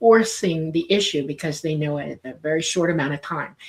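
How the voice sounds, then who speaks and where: This woman has a fairly low pitch and an unremarkable speaking voice. Her pace is moderate and her pitch varies in an ordinary way. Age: 60s. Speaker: UFO commentator. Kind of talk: interview.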